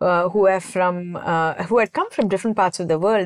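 Against a quiet background, a woman with a normal speaking voice talks at a fairly low pitch with ordinary pitch variation, in a dry, close sound with no echo. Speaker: composer. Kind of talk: casual interview.

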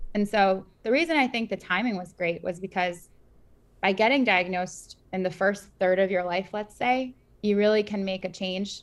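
A woman uses a plain, everyday voice at medium pitch, speaking at a moderate pace with ordinary pitch variation. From US Northeast, Queens, New York. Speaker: startup founder and cancer survivor. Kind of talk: interview. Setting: video call.

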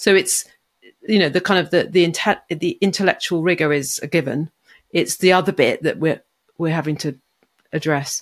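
On a very clean recording with a silent background, a woman with a British accent speaks at a moderate pace. Her fairly low pitch keeps fairly even intonation, broken by long, frequent pauses. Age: 50s. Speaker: coaching psychologist. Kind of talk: interview conversation.

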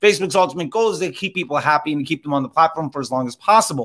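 On a very clean recording with a silent background, a man speaks in a bright, sharp tone. His delivery is animated and energetic, with lively intonation. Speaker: Facebook ads instructor; former radio DJ. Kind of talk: live masterclass, teaching. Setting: live Clubhouse audio room. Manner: animated, energetic.

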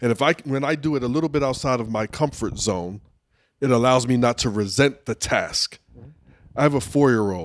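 An ordinary speaking voice from a man, medium in pitch, with ordinary pitch variation and a fairly quick pace, on a very clean recording with a silent background. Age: 40s. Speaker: professional speaker and leadership trainer. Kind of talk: casual chat. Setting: barn.

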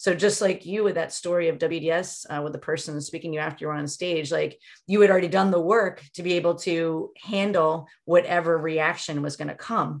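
With an ordinary speaking voice, a woman talks at a fairly quick pace with hardly any pauses, using fairly even intonation and a fairly low pitch over a quiet background. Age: 50s. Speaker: relationship coach. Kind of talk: casual interview chat.

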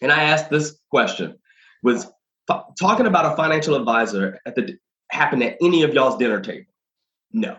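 Speaking at a fairly quick pace with long, frequent pauses, a man with a bright, sharp tone and vocal fry makes very wide pitch swings around a fairly high pitch. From Arkansas. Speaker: financial advisor and entrepreneur. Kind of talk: casual interview.

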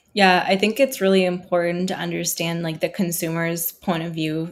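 A woman's fairly low-pitched voice with a Nova Scotian accent. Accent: Canadian (Nova Scotia). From Halifax, Nova Scotia. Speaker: social entrepreneur. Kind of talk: podcast interview.

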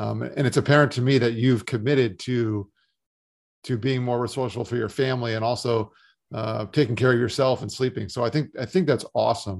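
A man with a normal speaking voice, medium pitch and ordinary pitch variation, at a fairly quick pace against a quiet background. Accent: American. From South Florida. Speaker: podcast host, financial firm founder. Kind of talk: interview.

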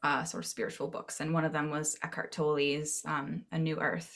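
On a very clean recording with a silent background, a woman with an American accent speaks at a fairly slow pace in a bright, sharp tone. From Maine, US. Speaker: web marketing consultant. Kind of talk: casual interview.

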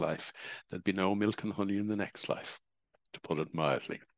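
A man talks at a moderate speed, the background quiet. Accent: Irish. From Ireland. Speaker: spiritual speaker.

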